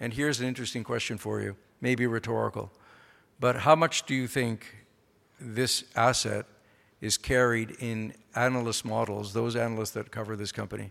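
In a very clean recording with a silent background, a man with a plain, everyday voice speaks at medium pitch and a moderate pace with fairly even intonation. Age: 50s. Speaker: mining company executive chairman. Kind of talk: conference speech. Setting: stage with audience.

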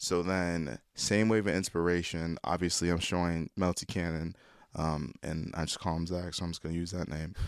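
At a moderate pace, a man talks with fairly even intonation in a very deep, low pitch on a very clean recording with a silent background. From Nigerian family background. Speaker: rapper and producer. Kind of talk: casual chat. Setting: studio.

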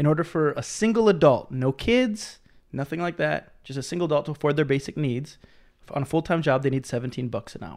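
An ordinary speaking voice, a man with an American accent talks at a fairly quick pace and fairly high pitch on a very clean recording with a silent background. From Minnesota. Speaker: living wage advocate. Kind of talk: casual chat.

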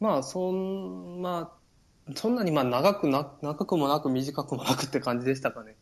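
A man with a Kansai accent and lively intonation. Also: fairly high pitch for a man, moderate pace. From Japan, Takarazuka, Hyogo (Kansai). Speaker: Japanese expat in Norway. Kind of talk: casual chat. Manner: hesitant, many fillers.

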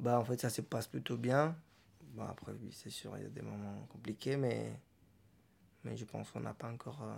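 A man talks at a moderate pace, leaving long, frequent pauses. His loudness rises and falls sharply. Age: 30s. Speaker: father. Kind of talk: interview testimony. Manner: halting.

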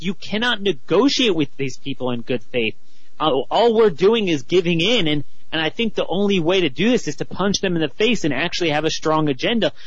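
Amid noticeable background noise and audible room echo, a man with an American accent speaks at a fairly quick pace in a high pitch with lively intonation. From Baltimore, US. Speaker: political commentator, writer. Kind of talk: casual radio interview.

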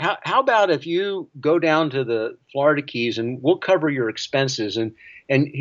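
A man with an American accent, ordinary pitch variation and a moderate pace. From US South. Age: 60s. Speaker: cinematographer and film director. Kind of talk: interview.

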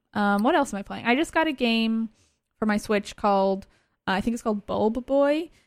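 A woman with an American accent and a plain, everyday voice speaks at a fairly high pitch and a fairly quick pace, with lively intonation. The sound is dry and close with no echo, a very clean recording with a silent background. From US East Coast (Virginia, then Boston). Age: 20s. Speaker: video game media producer. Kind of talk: casual interview.

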